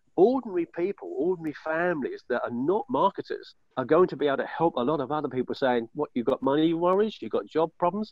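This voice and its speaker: At a very fast pace, a man talks with lively intonation and a high pitch. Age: 60s. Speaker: network marketing member. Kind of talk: testimony. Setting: outdoors on video call. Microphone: poor internet connection.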